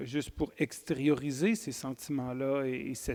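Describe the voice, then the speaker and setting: A man with a Quebec accent, fairly high-pitched, at a very slow pace. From Quebec, Wendake (Huron-Wendat First Nation). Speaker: poet and writer. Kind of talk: interview at a literary festival. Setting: stage with live audience. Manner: hesitant, many fillers and repetitions.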